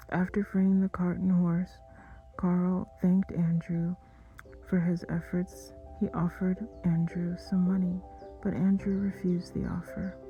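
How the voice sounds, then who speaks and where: Soft-spoken and calm in tone, the speaker goes at a fairly slow pace with long, frequent pauses, with music in the background. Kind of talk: sleep story narration. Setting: soft background music. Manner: soft-spoken, calm.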